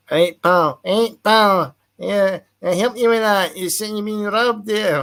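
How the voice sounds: Using a put-on character voice in a Glaswegian accent, a man speaks at a high pitch. His pace is fairly slow.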